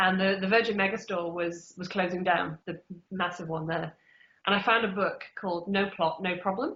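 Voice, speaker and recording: A woman with an English Midlands accent at a moderate pace. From England, Derby. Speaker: author. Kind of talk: interview. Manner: casual, many fillers.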